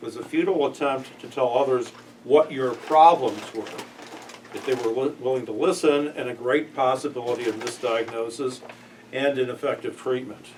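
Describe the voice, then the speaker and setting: A man with an American accent, medium pitch, fairly even intonation and moderate pace, against noticeable background noise. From Chicago, US Midwest. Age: 60s. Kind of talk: workplace presentation.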